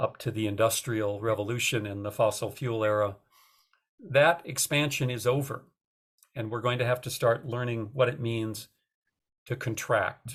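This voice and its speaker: Over a very clean recording with a silent background, a man of medium pitch talks at a moderate pace in a somewhat breathy voice, his intonation fairly even and broken by long, frequent pauses. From North Dakota. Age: 60s. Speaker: author. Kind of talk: interview talk about his book.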